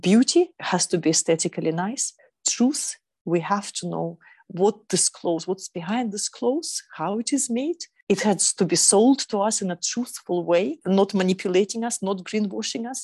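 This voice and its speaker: A woman with a dark, mellow tone sounds somewhat breathy, speaking at a moderate pace with lively intonation in a dry, close recording with no echo and a quiet background. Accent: Russian. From Russia, Eastern Siberia. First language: Russian. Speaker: sustainable fashion consultant. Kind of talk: interview.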